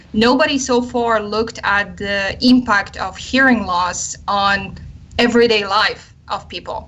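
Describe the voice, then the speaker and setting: A woman with a Polish accent speaks fairly slowly at a fairly high pitch, her intonation fairly even. Noticeable background noise runs underneath. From Poland. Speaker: army psychologist and researcher. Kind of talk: radio interview. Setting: live online radio show.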